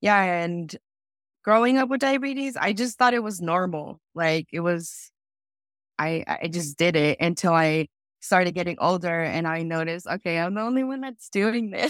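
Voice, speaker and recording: A woman with an unremarkable speaking voice talks at a moderate pace with lively intonation and a fairly low pitch, in a dry, close sound with no echo. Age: 20s. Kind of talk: interview. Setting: video call.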